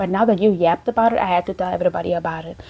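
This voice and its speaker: Background noise is clearly audible. Over it, a woman talks. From South Africa, Cape Town. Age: 20s. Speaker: faith and dating content creator. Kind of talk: casual chat. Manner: calm.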